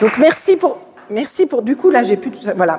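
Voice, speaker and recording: A woman's high-pitched voice at a very fast pace, with noticeable background noise. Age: 50s. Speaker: profiler and speaker. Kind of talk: conference talk. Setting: stage with audience. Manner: loud.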